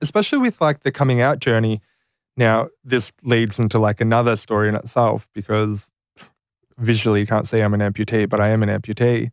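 A man with an Australian accent speaks at medium pitch and a fairly quick pace. His intonation is fairly even, his loudness very even, and the sound dry and close with no echo. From rural New South Wales, Australia. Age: 20s. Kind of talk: casual interview. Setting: studio.

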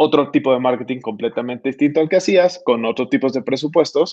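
Music plays in the background as a man speaks very fast at a fairly high pitch with ordinary pitch variation. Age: 40s. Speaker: marketing executive. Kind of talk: interview. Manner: halting, frequent repetitions.

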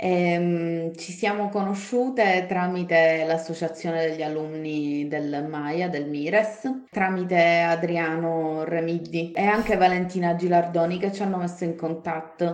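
A woman with a Sicilian accent talks at a very slow pace with hardly any pauses, fairly even intonation and a fairly low pitch, over noticeable background noise. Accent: Sicilian-accented Italian. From Palermo, Sicily. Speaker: guest, Belarus specialist. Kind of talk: casual interview.

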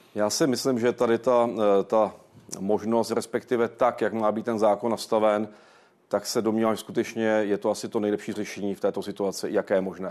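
A man talks at a fairly quick pace in a fairly low pitch. His intonation is flat and monotone. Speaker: director of a historical research institute. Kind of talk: TV interview. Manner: formal.

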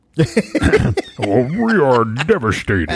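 A man's put-on character voice at a medium pitch. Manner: devastated, mock-solemn.

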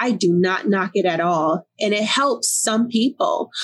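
A woman with a Newark accent speaks at a fairly slow pace, somewhat breathy, with lively intonation. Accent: New Jersey, Newark urban. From Newark, New Jersey. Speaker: author and life coach. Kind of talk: casual interview conversation.

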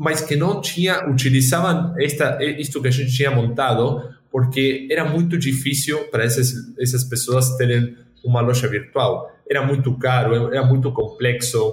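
At a moderate pace and medium pitch, a man speaks with fairly even intonation, very even loudness and a somewhat breathy voice. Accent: Spanish. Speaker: tech company executive. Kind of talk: casual interview conversation.

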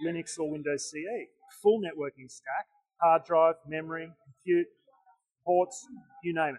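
With an Australian accent, a man speaks at a high pitch and fairly slow pace, with ordinary pitch variation and long, frequent pauses. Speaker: tech vendor representative. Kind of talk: conference booth interview. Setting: conference vendor hall.

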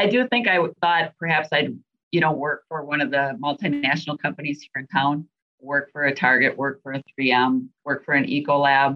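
The speech moves at a moderate pace with ordinary pitch variation, in a Minnesota accent. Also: woman, very deep, low pitch for a woman. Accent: Minnesota, nasal. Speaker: venue sales and marketing director. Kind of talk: interview.

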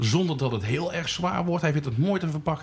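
Noticeable background noise sits under a man's fairly high voice. He talks at a fairly quick pace with very wide pitch swings. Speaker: podcast host. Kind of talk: casual chat. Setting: pub.

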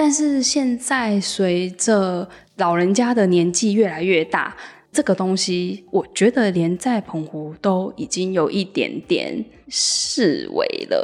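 A woman's medium-pitched voice, very slow in pace with lively intonation. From Penghu, Taiwan. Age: young. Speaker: local resident. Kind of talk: interview.

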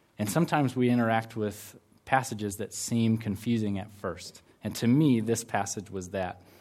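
With an American accent, a man talks in a normal speaking voice at a medium pitch, a moderate pace and ordinary pitch variation. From United States. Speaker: campus ministry worker giving a sermon. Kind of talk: sermon. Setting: church service with congregation.

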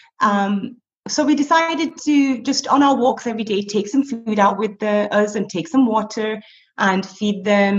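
Somewhat breathy, a woman with a fairly high voice talks at a moderate pace with ordinary pitch variation. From northern England, Blackburn. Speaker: teacher and street cat rescuer. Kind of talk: casual interview.

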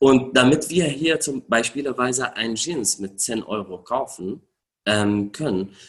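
Speaking very slowly, a man with an Arabic accent uses a medium pitch and lively intonation. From Syria. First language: Arabic (speaking German). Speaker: refugee rights activist. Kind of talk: interview. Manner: hesitant, many filler sounds.

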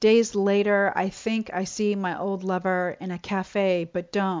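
At a medium pitch, this woman uses an ordinary speaking voice. She moves fairly slowly with fairly even intonation. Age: 50s. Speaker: poet. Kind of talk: poetry reading.

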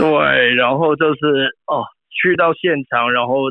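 In a Cantonese accent, a man speaks at a very slow pace. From Hong Kong. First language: Cantonese (speaking Chinese). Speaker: film art director. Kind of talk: interview. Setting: remote phone call.

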